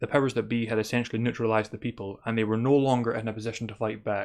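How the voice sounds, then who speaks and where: Against a quiet background, a man with a Scottish accent speaks at a medium pitch. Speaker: spirituality podcaster. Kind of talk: monologue commentary.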